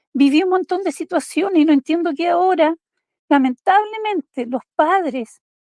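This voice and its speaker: The pace is fairly slow. Pitch moves in an ordinary way. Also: woman. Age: 60s. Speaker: invited participant. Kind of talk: emotional tribute.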